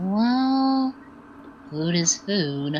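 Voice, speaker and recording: A put-on, female-sounding character voice leaps through very wide pitch swings over clear background noise. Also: medium pitch for a woman. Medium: actual play.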